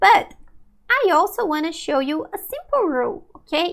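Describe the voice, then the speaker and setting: A woman with a Brazilian Portuguese accent. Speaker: Portuguese language teacher. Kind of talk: live online lesson. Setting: livestream. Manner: slow, clear teaching pace.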